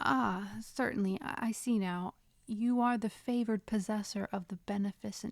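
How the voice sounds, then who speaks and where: A woman speaks at medium pitch with ordinary pitch variation. Her voice is somewhat breathy, and the sound is dry and close with no echo. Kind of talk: audiobook reading. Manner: whispered.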